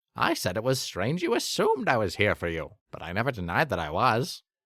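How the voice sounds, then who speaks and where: In a put-on character voice, a man talks breathily at a medium pitch and a fairly quick pace on a very clean recording with a silent background. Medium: read story. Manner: cheery, airy.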